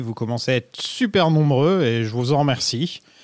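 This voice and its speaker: Speaking with an ordinary speaking voice, this man keeps his pitch medium and his pace moderate, varying his pitch in an ordinary way. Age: 30s. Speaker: podcast host. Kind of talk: casual chat.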